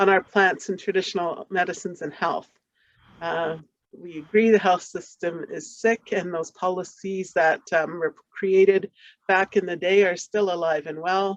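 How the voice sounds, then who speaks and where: A woman with an unremarkable speaking voice talks at a medium pitch and a moderate pace. Her intonation is fairly even, and the sound is dry and close with no echo. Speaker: community partner in health research. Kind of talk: conference presentation.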